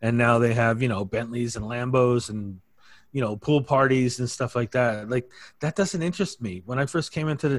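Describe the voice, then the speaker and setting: On a very clean recording with a silent background, the voice is somewhat breathy and shows ordinary pitch variation. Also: man. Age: 50s. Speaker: affiliate marketer. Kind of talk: casual chat.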